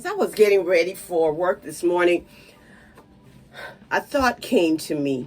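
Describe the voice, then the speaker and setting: A woman talks in a fairly low pitch over music in the background. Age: 60s. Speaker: lifestyle vlogger. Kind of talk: casual vlog. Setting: home.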